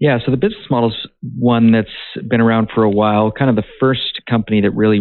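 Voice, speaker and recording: A man in a Canadian accent, very fast, with monotone, flat intonation. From Canada. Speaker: mining company CEO. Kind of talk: interview.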